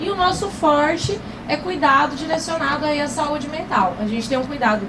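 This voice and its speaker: A woman speaks in an animated tone at a moderate pace, with noticeable background noise and audible room echo. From Paraná, southern Brazil. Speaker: pharmacy professor. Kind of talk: lecture.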